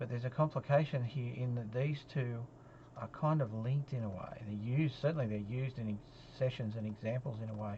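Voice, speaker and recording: A man with an Australian accent speaks at a medium pitch with fairly even intonation. His tone is dark and mellow, and somewhat breathy. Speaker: statistics lecturer. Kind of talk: recorded lecture. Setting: solo lecture recording. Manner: halting, many fillers.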